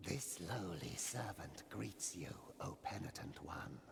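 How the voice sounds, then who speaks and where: A put-on character voice from a man, very deep and low, at a fairly slow pace over clear background noise. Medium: video game. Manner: slow, solemn, reverent.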